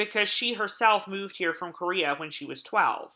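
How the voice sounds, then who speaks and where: The voice has an Appalachian accent and a bright, sharp tone. Its intonation is lively. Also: woman. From Appalachia, US. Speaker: college lecturer. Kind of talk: recorded online lecture. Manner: hesitant, many filler words.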